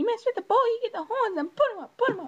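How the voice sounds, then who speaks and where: A put-on character voice, squeaky and extremely high in pitch, rattles along at a very fast pace. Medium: solo performance. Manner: silly, overacted.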